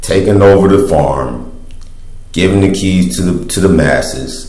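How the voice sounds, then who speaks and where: Amid noticeable background noise and audible room echo, a man speaks at a fairly slow pace with a very deep, low pitch. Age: 20s. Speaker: vlogger. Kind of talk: casual monologue. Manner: halting.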